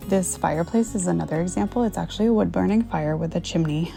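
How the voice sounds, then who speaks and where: There is music behind the voice. The speaker is a woman. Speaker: licensed professional counselor. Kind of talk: home renovation voiceover.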